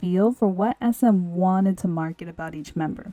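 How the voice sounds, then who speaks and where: A woman talks with an unremarkable speaking voice and an American accent. Her pace is moderate and her pitch varies normally. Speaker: podcaster, media commentator. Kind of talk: scripted commentary.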